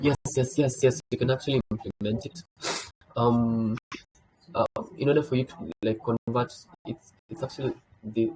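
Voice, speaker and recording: With a dark, mellow, somewhat breathy tone at medium pitch, a man speaks at a moderate pace with ordinary pitch variation, long, frequent pauses and big swings in loudness, in a dry, close sound with no echo. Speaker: developer relations presenter. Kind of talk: technical tutorial. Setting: video call. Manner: halting, many fillers.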